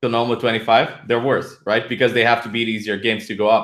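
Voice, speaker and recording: A man with a Romanian accent speaks at a fairly quick pace in a medium pitch. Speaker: poker player and coach. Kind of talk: podcast interview.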